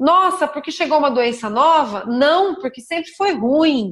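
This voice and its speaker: A woman with lively intonation speaks at a fairly slow pace. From Brazil, São Paulo state (São Roque). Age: 40s. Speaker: emergency physician. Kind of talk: interview. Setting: video call.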